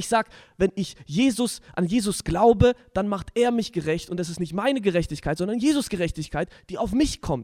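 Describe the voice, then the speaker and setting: The man's voice is high-pitched, with lively intonation at a moderate pace, and the sound is dry and close with no echo. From southwestern Germany, village Deichbach. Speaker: podcast host. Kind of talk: casual religious discussion.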